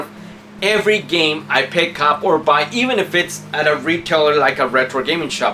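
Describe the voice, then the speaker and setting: Speech at a moderate pace amid noticeable background noise. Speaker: video game collector youtuber. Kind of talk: casual video haul talk. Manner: casual, conversational with fillers.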